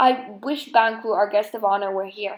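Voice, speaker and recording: A put-on, growling character voice comes at a moderate pace with fairly even intonation. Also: woman, medium pitch for a woman. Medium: read story. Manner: tense, fearful.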